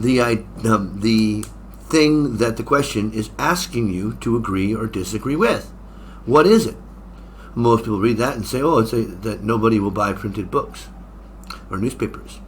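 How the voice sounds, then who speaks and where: With vocal fry and long, frequent pauses, a man speaks at a moderate pace in a medium pitch with ordinary pitch variation. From United States. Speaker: English exam teacher. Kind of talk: tutorial. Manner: casual, halting with fillers.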